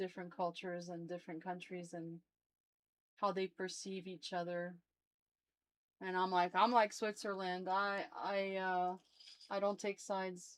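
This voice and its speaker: A woman with a French accent speaks at a medium pitch and a moderate pace, her intonation monotone and flat. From southern France, Toulouse. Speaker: livestream guest. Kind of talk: casual chat.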